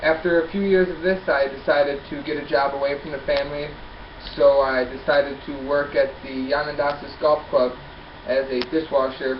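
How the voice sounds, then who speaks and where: A man with an American accent and a fairly high pitch, at a moderate pace, amid noticeable background noise and audible room echo. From upstate New York. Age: 20s. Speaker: college student. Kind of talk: class self-introduction.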